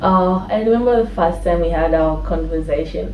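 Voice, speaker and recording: Talking at a fairly quick pace, a woman is heard with audible room echo and noticeable background noise. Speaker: YouTuber. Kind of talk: casual chat.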